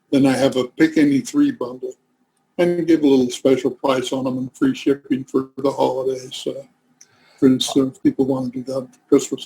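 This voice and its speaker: A man speaks at a moderate pace and medium pitch, his tone dark, mellow and somewhat breathy. His intonation is monotone and flat, and the sound is dry and close with no echo. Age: 70s. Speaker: author and researcher. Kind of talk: interview.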